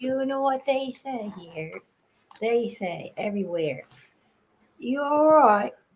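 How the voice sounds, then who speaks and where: A high-pitched woman with a slight English accent, very slow and lively in intonation, with long, frequent pauses. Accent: picking up slight local English inflections. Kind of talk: casual chat. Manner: animated.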